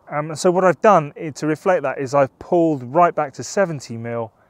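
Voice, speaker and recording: At a moderate pace, a man talks in a dry sound with no echo. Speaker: photography vlogger. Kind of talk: casual vlog chat. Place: open country. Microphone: phone near.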